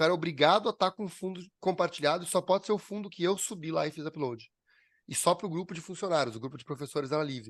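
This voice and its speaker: A man with a high pitch and lively intonation talks at a very fast pace, the sound dry and close with no echo against a quiet background. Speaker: business owner teaching a class. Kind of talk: online class with screen sharing. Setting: video call.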